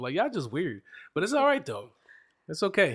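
A man's animated voice with an American accent and very wide pitch swings, on a very clean recording with a silent background. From Reading, Pennsylvania, US. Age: 30s. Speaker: podcast host. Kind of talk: casual chat, interview over wine. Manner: joking, teasing, animated.

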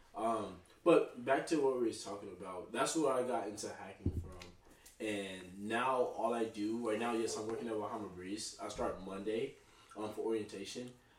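A man with an American accent, medium pitch and ordinary pitch variation, at a moderate pace, with audible room echo and noticeable background noise. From Texas (Dallas, Oak Cliff) and Tulsa, Oklahoma. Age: 20s. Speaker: army veteran. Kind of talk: casual chat.

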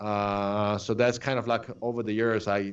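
A man speaks with a strong Polish accent at a fairly low pitch. His intonation is monotone and flat, and the background is quiet. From Poland. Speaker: photographer. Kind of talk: casual interview.

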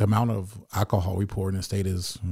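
A man with an American accent speaks very fast in a fairly low, somewhat breathy voice with a dark, mellow tone. His intonation is flat and monotone, on a very clean recording with a silent background. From US South, Memphis, Tennessee. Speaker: dispensary co-owner. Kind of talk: podcast interview.

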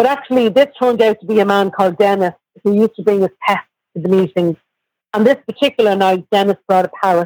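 Recorded dry and close with no echo, a woman with an Irish accent speaks very fast with ordinary pitch variation. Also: medium pitch for a woman. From Ireland, Dublin. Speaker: guest in recovery. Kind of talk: testimony.

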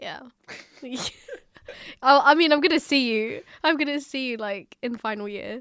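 A woman with an English accent speaks at a fairly slow pace in a high pitch, leaving long, frequent pauses. Her loudness swings widely. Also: lively intonation. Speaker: podcast host, university student. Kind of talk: casual chat.

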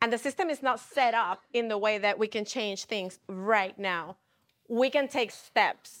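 A woman with a Spanish accent, fairly high in pitch with ordinary pitch variation, at a moderate pace on a very clean recording with a silent background. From Puerto Rico. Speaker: city council member. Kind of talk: panel discussion. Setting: studio.

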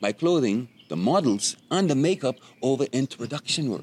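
Very wide pitch swings mark this man's speech in a Bahamian accent, on a very clean recording with a silent background. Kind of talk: casual interview chat.

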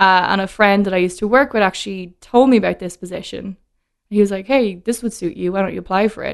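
A woman in a Dublin accent at a very fast pace. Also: medium pitch for a woman. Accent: Irish (Dublin). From Ireland (Dublin). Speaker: whiskey brand ambassador. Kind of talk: casual chat.

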